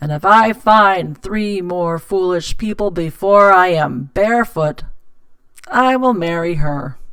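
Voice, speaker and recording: A put-on character voice, female-sounding, at middle pitch and a fairly slow pace. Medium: read story.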